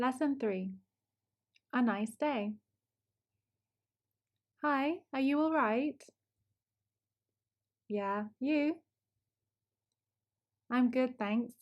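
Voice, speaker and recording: A woman speaks at a very slow pace in a high voice, with long, frequent pauses. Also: ordinary pitch variation, very even loudness. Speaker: English teacher. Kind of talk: language lesson shadowing dialogue. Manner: slow, clear.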